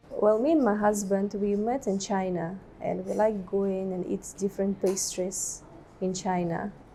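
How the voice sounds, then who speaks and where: A woman's medium-pitched voice, fairly slow and fairly even in intonation, against noticeable background noise. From Russia. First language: Russian. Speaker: baker and business owner. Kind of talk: interview.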